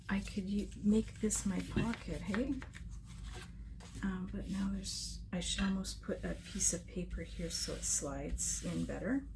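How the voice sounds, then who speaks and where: A soft-spoken woman whispers amid noticeable background noise and audible room echo. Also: fairly slow pace. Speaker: scrapbooking crafter. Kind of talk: crafting tutorial. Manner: muttering to herself; soft-spoken, near whisper.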